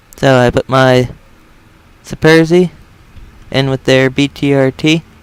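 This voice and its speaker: Dry, close sound with no echo carries a man's medium-pitched voice. He speaks at a fairly slow pace with fairly even intonation and very even loudness. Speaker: gaming video creator. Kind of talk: gameplay commentary.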